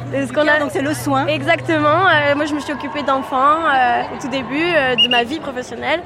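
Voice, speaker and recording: Over crowd noise and audible room echo, a woman uses a raised, projected voice with a high pitch and ordinary pitch variation. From France, Aveyron. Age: 30s. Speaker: programmer retraining as designer. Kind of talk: street interview. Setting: outdoors at a street demonstration.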